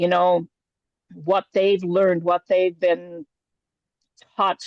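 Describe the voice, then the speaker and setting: A woman's voice comes through dry and close, with no echo. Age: 60s. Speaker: artist and workshop leader. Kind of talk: interview. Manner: halting.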